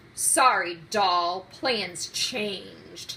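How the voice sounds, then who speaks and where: A woman's put-on character voice, growling at medium pitch. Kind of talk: hard-boiled, noir.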